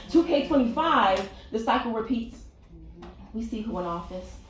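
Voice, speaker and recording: In a room with audible echo and noticeable background noise, a woman speaks with lively intonation. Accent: American. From Richmond, Virginia. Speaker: spoken word poet. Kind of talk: spoken word poetry performance. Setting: stage with audience.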